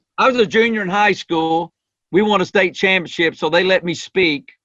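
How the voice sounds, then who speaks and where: Using normal pitch movement, a man talks rather briskly. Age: 50s. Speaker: leadership coach. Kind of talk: podcast interview. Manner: animated.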